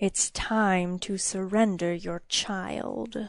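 In a put-on character voice, a woman at medium pitch speaks at a very slow pace with hissing over a quiet background. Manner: hissing, menacing.

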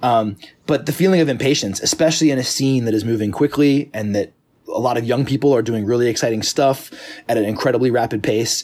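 A man's unremarkable speaking voice at medium pitch, ordinary pitch variation and a fairly quick pace. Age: 40s. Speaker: pop music critic and musician. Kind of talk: casual chat.

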